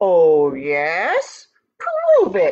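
Putting on a growling character voice, a woman speaks at medium pitch. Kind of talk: gruff, taunting. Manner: growling, threatening.

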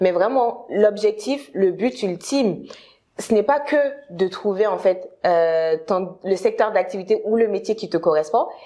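Against a quiet background, a woman with a medium pitch and a dark, mellow tone talks at a fairly slow pace with ordinary pitch variation and long, frequent pauses. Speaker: career consultant. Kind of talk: interview. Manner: halting. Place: home room. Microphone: lapel.

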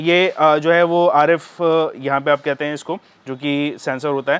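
A man's voice comes through with a clear, smooth tone. His intonation stays fairly even, and the tone is fairly bright.

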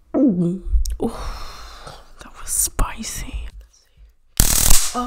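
Whispering in a playful tone, a woman speaks with an American accent. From Atlanta, Georgia, USA. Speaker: YouTuber and ASMR vlogger. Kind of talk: ASMR trigger video. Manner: playful, quiet, exaggerated. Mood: playful, joking. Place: home room. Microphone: studio mic.

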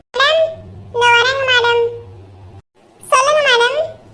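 A squeaky, cartoonish character voice at an extremely high pitch, delivered at a very slow pace.

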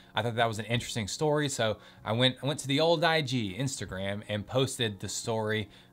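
A man talks at a fairly quick pace. His pitch shows ordinary variation. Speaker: lawyer. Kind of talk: casual educational talk to camera. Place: home room.

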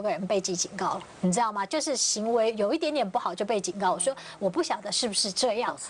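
A woman speaks at a very fast pace over light background noise. Her voice is fairly high, with lively intonation. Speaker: TV talk show panelist. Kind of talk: TV panel discussion. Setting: studio. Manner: animated. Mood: animated storytelling. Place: studio.

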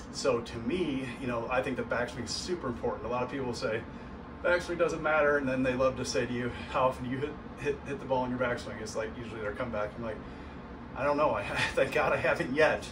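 Over noticeable background noise, a man with an American accent speaks at a very fast pace with fairly even intonation. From St. Louis, US Midwest; Missouri. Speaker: golf instructor. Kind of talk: tutorial. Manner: casual, conversational. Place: home room. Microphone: camera far.

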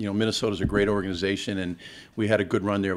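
A man talks at a fairly low pitch with monotone, flat intonation. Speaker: football coach. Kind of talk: interview answer. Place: hall. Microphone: podium.

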